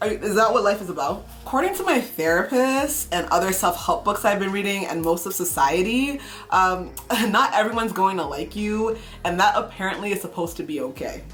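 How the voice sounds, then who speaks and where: A woman with a medium pitch speaks at a moderate pace with lively intonation over noticeable background noise. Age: 30s. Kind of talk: casual talk to camera.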